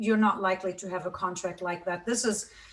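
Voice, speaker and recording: Her intonation stays fairly even as this woman talks. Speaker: business law professor. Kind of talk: lecture. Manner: halting, many fillers.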